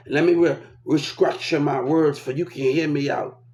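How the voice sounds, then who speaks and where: Noticeable background noise runs under a man speaking at a fairly slow pace. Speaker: vlogger. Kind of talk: casual monologue rant. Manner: repetitive, stammering.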